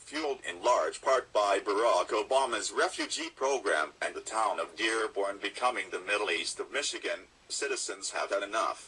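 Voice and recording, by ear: This is a put-on character voice with a robotic sound. It moves at a moderate pace. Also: man.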